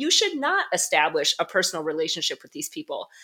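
A woman is speaking. Her tone is bright and sharp. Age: 40s. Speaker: wellness coach and author. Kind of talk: interview conversation.

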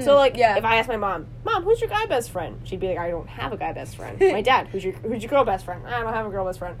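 Speaking very fast with a northern US accent, a woman swings widely in loudness over noticeable background noise. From northern US, recently moved to the South. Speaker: podcast co-host.

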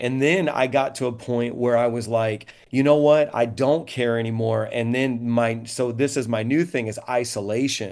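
A plain, everyday voice comes from a man with an American accent and medium pitch. His intonation is fairly even, his pace moderate, with hardly any pauses. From Indiana. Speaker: pastor. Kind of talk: panel discussion.

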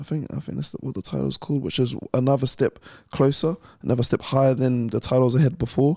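A man with a New Zealand accent, medium pitch, dark, mellow tone, fairly even intonation and a very fast pace. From New Zealand (West Auckland), born in London. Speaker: professional boxer. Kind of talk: interview.

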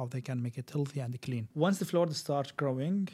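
A man speaks at a fairly quick pace with an Arabic accent. His tone is dark and mellow, somewhat breathy. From Kuwait (Syrian family). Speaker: tech executive. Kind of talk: casual chat.

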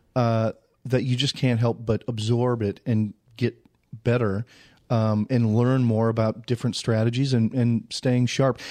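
A man with an American accent speaks slowly at a medium pitch in a dark, mellow tone, his intonation monotone and flat and his loudness very even, over a quiet background. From Minnesota (Saint Paul). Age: 30s. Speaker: real estate agent. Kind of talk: casual interview.

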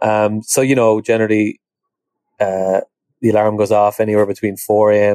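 In an Irish accent, a man with a fairly low pitch and a dark, mellow tone speaks at a moderate pace with monotone, flat intonation, in a dry, close sound with no echo. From Ireland. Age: 30s. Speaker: equine veterinarian. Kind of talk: interview. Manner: halting, many fillers.

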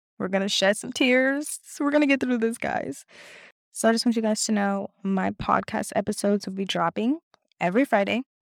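At a fairly quick pace, a woman talks with ordinary pitch variation on a very clean recording with a silent background and a dry, close sound with no echo. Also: fairly high pitch for a woman. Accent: American. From Los Angeles, California. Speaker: podcast host. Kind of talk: casual monologue.

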